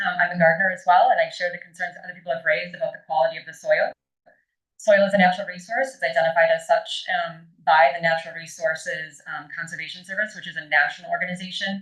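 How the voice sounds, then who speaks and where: At a very fast pace, a woman with an American accent speaks in a fairly low pitch with fairly even intonation and big swings in loudness. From northern Wisconsin. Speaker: member of the public giving testimony. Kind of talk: public hearing testimony.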